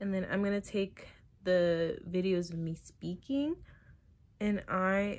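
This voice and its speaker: Soft-spoken, a woman talks at a medium pitch with fairly even intonation. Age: 20s. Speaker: content creator, video tutorial maker. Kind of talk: tutorial. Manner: casual.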